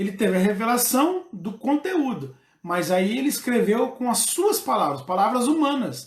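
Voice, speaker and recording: A man's extremely high-pitched voice with very wide swings in pitch. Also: moderate pace. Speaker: pastor. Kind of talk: bible study lesson. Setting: livestream. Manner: halting, many fillers.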